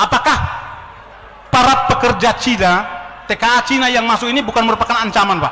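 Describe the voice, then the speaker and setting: A man speaks very fast in a raised, projected voice at an extremely high pitch, his loudness very even. Long, frequent pauses come through amid noticeable background noise. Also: ordinary pitch variation. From Ternate, North Maluku. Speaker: former army officer. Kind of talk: audience question at a public discussion. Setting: meeting hall with audience. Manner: halting, with fillers.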